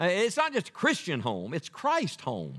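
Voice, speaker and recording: In a very clean recording with a silent background, a man with an Appalachian accent speaks at a fairly slow pace. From West Virginia. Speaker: evangelist preacher. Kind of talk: sermon. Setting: church.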